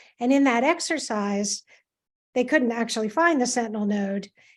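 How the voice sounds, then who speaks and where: In a very clean recording with a silent background, a woman with an American accent talks at a moderate pace in an ordinary speaking voice, her pitch fairly high. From US Mid-Atlantic, Washington DC area. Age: 60s. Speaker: cancer patient. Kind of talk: interview testimony.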